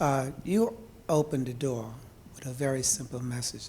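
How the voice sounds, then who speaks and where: A man's somewhat breathy voice, medium in pitch, with fairly even intonation. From New York City (Harlem). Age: 70s. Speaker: audience member. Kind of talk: audience question. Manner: halting. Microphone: held too far from mic.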